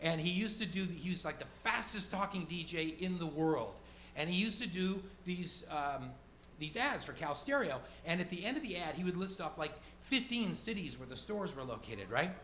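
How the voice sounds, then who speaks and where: Over noticeable background noise, a man talks at a fairly quick pace. His pitch is high and his intonation lively. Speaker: stand-up comedian. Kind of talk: stand-up comedy set. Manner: casual, conversational.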